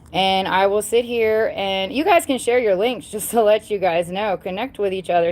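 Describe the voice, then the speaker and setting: Speaking with a Southern US accent, a woman has a medium pitch and ordinary pitch variation. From US South. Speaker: paranormal YouTuber. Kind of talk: live stream chat. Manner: loud; animated.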